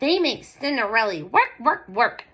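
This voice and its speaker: Her put-on character voice sits high, and the woman swings her pitch very widely. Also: moderate pace. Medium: read story.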